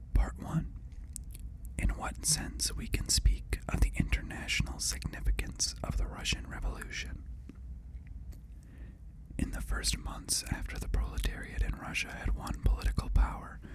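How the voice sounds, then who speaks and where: Whispering comes at a moderate pace, with long, frequent pauses. Background noise is noticeable. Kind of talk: ASMR reading of political text. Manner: whispered.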